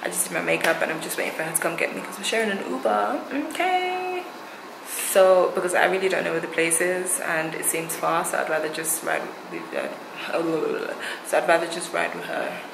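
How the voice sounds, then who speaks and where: A woman speaks fairly quickly, with noticeable noise in the background. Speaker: vlogger. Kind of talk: casual vlog chat. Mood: cheerful, laughing. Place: home room. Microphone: phone near.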